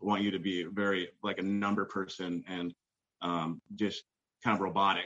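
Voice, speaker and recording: A man talks with a fairly low pitch. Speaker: retail manager on weight loss journey. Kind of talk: casual interview. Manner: loud; halting, many fillers.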